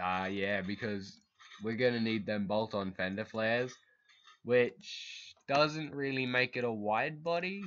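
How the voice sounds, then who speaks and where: Against a quiet background, a man speaks at a medium pitch and a fairly slow pace with ordinary pitch variation. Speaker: gaming video creator. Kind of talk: casual gameplay commentary. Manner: halting, self-correcting.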